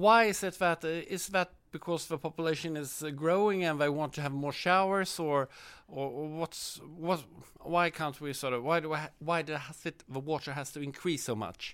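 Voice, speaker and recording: A man with a Swedish accent at a moderate pace. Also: fairly high pitch for a man, ordinary pitch variation. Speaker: interviewer. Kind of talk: interview. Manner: halting, many fillers.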